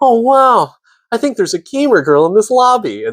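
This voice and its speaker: A man uses a put-on character voice at an extremely high pitch. He talks at a moderate pace with very wide pitch swings. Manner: exaggerated, high-pitched, theatrical anime delivery.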